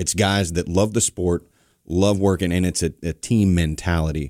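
With an American accent, a dark, mellow tone comes across on a very clean recording with a silent background. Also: man. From US South. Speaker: podcast co-host. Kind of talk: casual chat.

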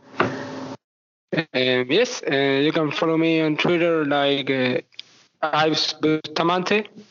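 A man with a Spanish accent talks at a very slow pace in a fairly high pitch, with long, frequent pauses. His loudness is very even and his pitch varies in an ordinary way. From Argentina. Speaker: basketball fan. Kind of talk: interview. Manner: halting.

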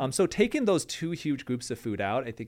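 A very fast-talking man with an American accent, in a very clean recording over a silent background. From Michigan, US Midwest. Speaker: plastic surgeon. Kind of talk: casual chat.

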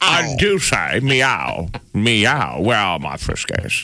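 A man's put-on character voice in a British accent, raspy and fairly low in pitch, at a very slow pace. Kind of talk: posh. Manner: playful.

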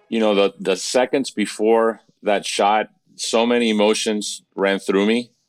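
A man with an American accent and an ordinary speaking voice, fairly low in pitch, at a fairly slow pace with fairly even intonation, on a very clean recording with a silent background and a dry, close sound with no echo. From Miami, Florida. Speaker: soccer club owner. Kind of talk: interview.

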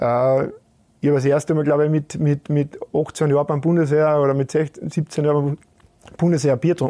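A man with a fairly high pitch and a dark, mellow tone speaks at a moderate pace in a monotone, flat intonation, the sound dry and close with no echo. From Austria, Carinthia. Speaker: retired football goalkeeper. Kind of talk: casual interview. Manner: halting, frequent repetitions.

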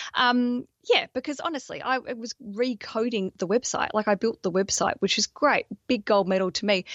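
A woman's high voice with an Australian accent, ordinary pitch variation and a moderate pace. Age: 30s. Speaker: podcaster and wedding planning coach. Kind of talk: casual chat. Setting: video call.

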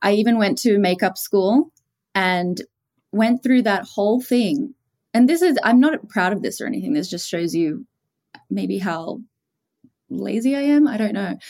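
This woman has an Australian accent and a fairly high pitch. She moves at a moderate pace, broken by long, frequent pauses. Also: lively intonation. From Australia, small coastal town. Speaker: beauty influencer and founder.

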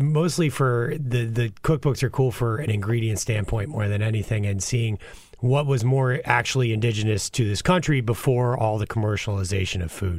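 A man's somewhat breathy voice sits at a medium pitch, moving at a moderate pace with ordinary variation in pitch. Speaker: chef. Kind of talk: casual chat.

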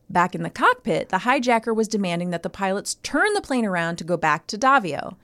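A woman's bright, sharp voice at medium pitch, fairly quick with hardly any pauses and lively intonation, in a dry, close sound with no echo and a very clean recording over a silent background. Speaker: podcast co-host. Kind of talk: casual chat. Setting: studio.

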